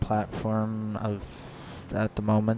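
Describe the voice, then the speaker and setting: A man speaks at medium pitch. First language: not English. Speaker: gaming youtuber. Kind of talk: casual vlog promo. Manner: halting, many fillers.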